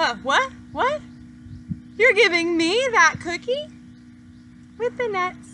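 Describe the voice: A woman's put-on character voice, extremely high-pitched and bright and sharp in tone, with big pitch swings at a slow pace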